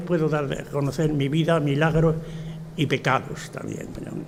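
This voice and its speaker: A man's voice over noticeable background noise. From Spain, Extremadura (Tornavacas, Cáceres). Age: 80s+. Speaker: retired professor and author. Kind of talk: speech at a book presentation. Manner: halting, with many fillers.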